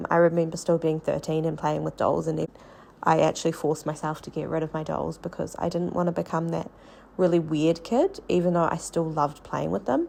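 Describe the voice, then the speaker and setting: A woman with a New Zealand accent talks at a fairly quick pace. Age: adult. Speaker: podcast host, early childhood teacher. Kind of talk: personal storytelling podcast monologue.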